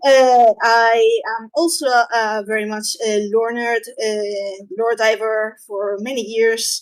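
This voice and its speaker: In a Spanish accent, a woman speaks very slowly with hardly any pauses, her fairly high pitch held to fairly even intonation while her loudness swings widely. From Spain. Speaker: convention panelist, lore speculator and art director. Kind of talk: convention panel talk. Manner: halting, many fillers.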